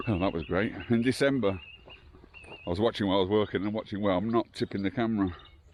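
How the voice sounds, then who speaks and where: Over noticeable background noise, a man with a fairly low pitch talks at a very fast pace, his pitch varying in an ordinary way. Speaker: local history vlogger. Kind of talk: walking vlog narration. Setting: outdoors, walking a site. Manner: quiet, hushed.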